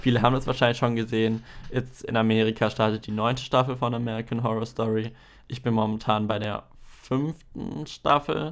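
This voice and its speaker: A normal speaking voice comes at a moderate pace with fairly even intonation. The recording is very clean, with a silent background. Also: man, medium pitch for a man. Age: 20s. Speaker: podcast host and video editor. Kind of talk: solo podcast monologue, casual.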